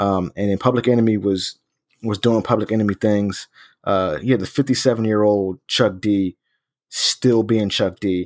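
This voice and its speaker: A man talks at a moderate pace in a fairly low voice with fairly even intonation. The recording is very clean, with a silent background and a dry, close sound with no echo. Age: 30s. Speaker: music podcast host. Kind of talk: casual chat.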